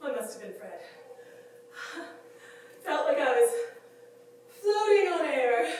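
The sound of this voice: A put-on character voice speaks slowly with big pitch swings and a slightly mellow tone. Strong room echo surrounds it. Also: woman, high pitch for a woman.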